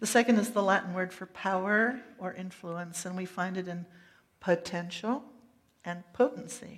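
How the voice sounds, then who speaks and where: A woman talks at a moderate pace and medium pitch, with ordinary pitch variation and big swings in loudness. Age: middle-aged. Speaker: pastor. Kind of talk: sermon. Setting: church.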